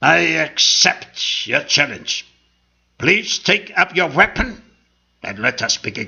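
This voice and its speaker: In a raspy, put-on character voice, a man speaks raised and projected at a high pitch with very wide swings. He goes at a fairly slow pace with long, frequent pauses. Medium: read story.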